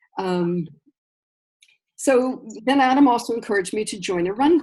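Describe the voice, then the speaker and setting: A woman is speaking. Her tone is dark and mellow. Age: 60s. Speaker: amateur runner. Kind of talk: personal testimony. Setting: webinar.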